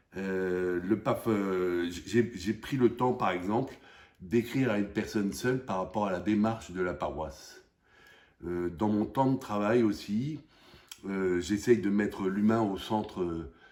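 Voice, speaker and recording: The delivery has a fairly slow pace and ordinary pitch variation. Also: man, fairly low pitch for a man. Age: 60s. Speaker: parishioner. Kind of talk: testimony. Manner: halting.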